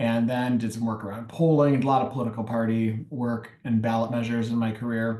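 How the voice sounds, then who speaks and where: A man with a Michigan accent at a fairly quick pace, medium-pitched with a dark, mellow tone, monotone and flat in intonation, hardly any pauses, and audible room echo. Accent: Michigan American. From US Midwest, Detroit. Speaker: nonprofit consultant. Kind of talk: interview.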